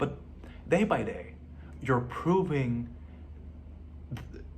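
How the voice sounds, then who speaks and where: Amid audible room echo, a man with a Lebanese accent and vocal fry speaks at a medium pitch with very wide pitch swings. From Lebanon. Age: 20s. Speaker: vlogger. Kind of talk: personal video diary. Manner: halting.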